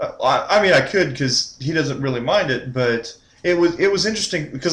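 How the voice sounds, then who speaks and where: With a Texan accent, a man speaks at a moderate pace using lively intonation. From Texas. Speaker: gaming channel host. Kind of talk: casual chat.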